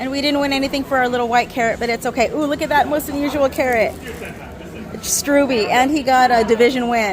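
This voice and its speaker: A high-pitched woman at a fairly quick pace, with audible room echo and crowd noise in the background. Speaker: gardening vlogger. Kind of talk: casual vlog walkthrough. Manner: animated; whispering.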